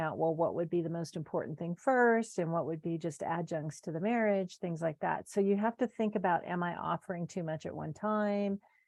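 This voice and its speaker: A woman's fairly low pitch with ordinary pitch variation. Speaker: marriage counselor. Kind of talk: presentation. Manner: fast.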